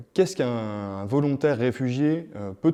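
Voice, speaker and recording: A man's dark, mellow voice at medium pitch, fairly slow in pace, over a quiet background. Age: 30s. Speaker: youth volunteer program coordinator. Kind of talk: interview-style presentation. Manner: hesitant, many fillers.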